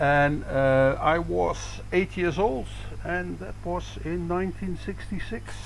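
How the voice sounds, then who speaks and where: A man speaks at a very slow pace. Noticeable background noise and audible room echo fill the recording. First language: Dutch. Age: 60s. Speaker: badminton coach. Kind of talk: interview. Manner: hesitant, many fillers.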